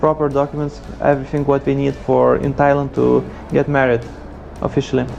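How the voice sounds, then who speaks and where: Man with a Lithuanian accent, music in the background. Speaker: freelance programmer. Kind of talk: monologue interview.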